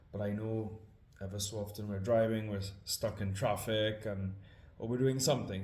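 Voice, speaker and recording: Audible room echo carries a man's somewhat breathy, fairly low voice, delivered with monotone, flat intonation. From Trinidad and Tobago. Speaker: scripture reader and musician. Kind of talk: casual introduction before reading aloud. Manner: hesitant, many fillers.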